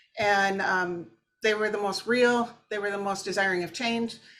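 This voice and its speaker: At a moderate pace and medium pitch, a woman speaks in a bright, sharp tone on a very clean recording with a silent background. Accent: Minnesotan. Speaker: therapist. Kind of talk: interview. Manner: casual, hesitant with fillers.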